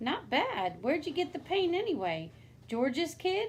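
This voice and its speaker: A woman speaks in a put-on character voice at extremely high pitch, swinging very widely in pitch at a moderate pace with very even loudness over clear background noise. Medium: read story. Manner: casual, offhand.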